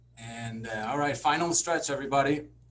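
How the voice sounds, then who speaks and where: A man's voice is heard with audible room echo. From Denmark. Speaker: sports psychologist. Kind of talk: lecture.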